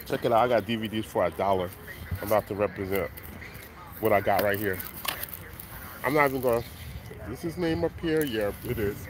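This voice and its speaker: A man with a fairly low voice speaks at a fairly quick pace, leaving long, frequent pauses, over noticeable background noise in a dry, echo-free sound. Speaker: flea market seller and rapper. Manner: loud, hyped, upbeat hustler patter with slang, repeated catchphrases; casual, rambling, conversational, self-promoting. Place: market. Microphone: phone near.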